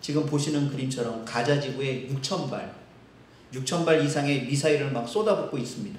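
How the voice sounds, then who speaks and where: A man speaks in a fairly high voice. Noticeable background noise and audible room echo surround him. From Seoul, South Korea. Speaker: pastor. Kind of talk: sermon.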